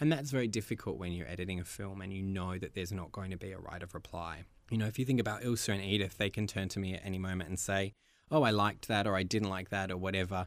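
A man with an Australian accent talks at a very fast pace in a very deep, low pitch with ordinary pitch variation, captured in a very clean recording with a silent background. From Australia, Melbourne. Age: 30s. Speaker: documentary filmmaker. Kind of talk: interview.

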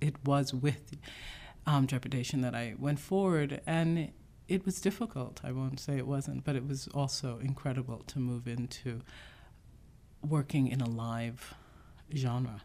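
On a very clean recording with a silent background, a woman with a very deep, low pitch and a dark, mellow tone talks at a fairly slow pace with long, frequent pauses and ordinary pitch variation. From New York City (Bronx), born in Jamaica. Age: 40s. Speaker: poet and playwright. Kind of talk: interview. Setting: writers' conference.

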